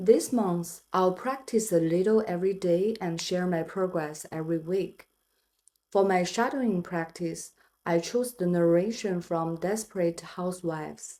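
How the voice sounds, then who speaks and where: Speaking at a fairly slow pace with a non-native accent, a woman uses a dark, mellow tone at medium pitch with ordinary pitch variation. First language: not English. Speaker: English learner vlogger. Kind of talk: personal vlog narration.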